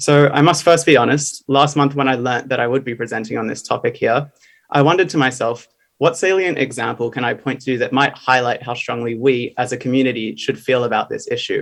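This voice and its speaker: Here a man speaks with an Australian accent at a medium pitch. His pace is fairly quick and his intonation fairly even. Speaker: graduate student speaker. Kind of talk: conference presentation. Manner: formal.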